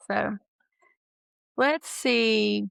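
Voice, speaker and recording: A woman with a strong East Texas accent. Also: dry, close sound with no echo. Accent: East Texas, thick. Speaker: nurse practitioner, podcast co-host. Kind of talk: casual chat. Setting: podcast recording.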